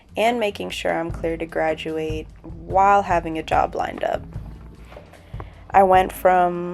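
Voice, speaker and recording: With music in the background, a woman speaks at a fairly slow pace in a medium pitch with fairly even intonation. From Southern Africa. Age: 20s. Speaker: recent university graduate. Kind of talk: personal vlog narration to camera.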